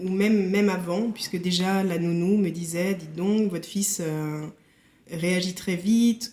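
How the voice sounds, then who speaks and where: The woman's voice is medium in pitch, with a dark, mellow tone. She speaks at a fairly slow pace with fairly even intonation. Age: 40s. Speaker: company director with burnout. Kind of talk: testimony. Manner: hesitant, many fillers.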